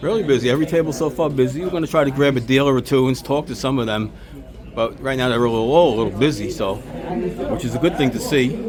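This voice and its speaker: Over crowd noise and audible room echo, a man with a Brooklyn accent talks at a very fast pace in a medium pitch. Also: ordinary pitch variation. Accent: New York (Brooklyn). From New York, Brooklyn. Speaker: sports card YouTuber. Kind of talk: vlog narration and walkaround. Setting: indoor card show, crowded venue.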